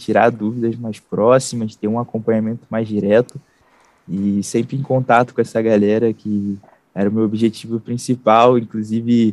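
A man with an unremarkable speaking voice speaks at medium pitch and a moderate pace. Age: 20s. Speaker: digital marketing entrepreneur. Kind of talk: interview.

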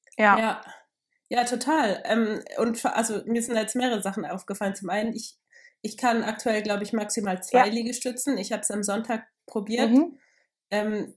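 A somewhat breathy woman speaks at a moderate pace with fairly even intonation. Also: very clean recording, silent background. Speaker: podcast co-host. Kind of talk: casual chat.

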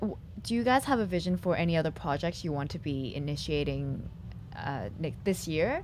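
At a moderate pace, a woman speaks with a very deep, low pitch, very wide pitch swings and vocal fry. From Hong Kong. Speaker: podcast host. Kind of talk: interview. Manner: animated.

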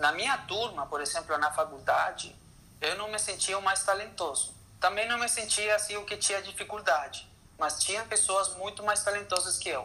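Raising and projecting his voice, a man with a Spanish accent speaks at a high pitch and a fairly slow pace. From Chile. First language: Spanish (speaking Portuguese). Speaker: orchestral percussionist. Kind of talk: interview. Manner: halting.

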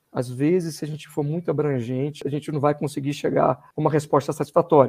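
A man talks in a fairly high pitch with a dark, mellow tone. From Brazil, Belo Horizonte, Minas Gerais (born in Rio de Janeiro, moved at 13). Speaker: university professor and doctoral student. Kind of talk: podcast interview.

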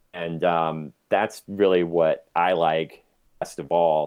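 A man speaks with a very deep, low pitch and fairly even intonation. The background is quiet. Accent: American. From US. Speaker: documentary photographer. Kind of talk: casual chat.

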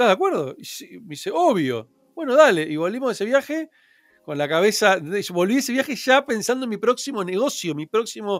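A man rattles along at a very fast pace. His high voice makes very wide pitch swings. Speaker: entrepreneur. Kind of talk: interview.

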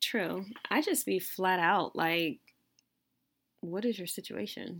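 Recorded very cleanly against a silent background, a woman speaks at a medium pitch with ordinary pitch variation. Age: 30s. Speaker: podcast co-host. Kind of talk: casual chat.

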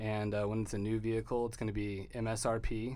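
Audible room echo surrounds a man with an American accent, talking fairly quickly at a medium pitch. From Texas. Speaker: car dealership owner. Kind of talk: interview.

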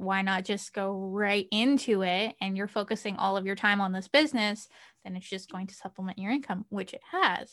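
This woman has an ordinary speaking voice with a medium pitch. She talks at a moderate pace. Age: 20s. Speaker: virtual assistant, small business owner. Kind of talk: casual chat.

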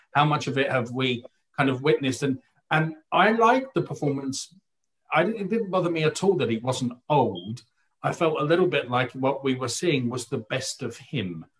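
A man speaks at a moderate pace with lively intonation. His voice is somewhat breathy. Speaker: theatre critic, writer and director. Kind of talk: casual panel discussion. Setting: video call.

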